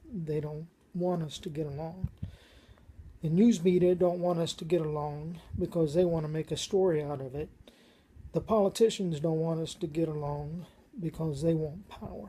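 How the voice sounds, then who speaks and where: With an American accent, a woman speaks at a moderate pace in a somewhat breathy voice and fairly even intonation. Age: 60s. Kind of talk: personal testimony monologue.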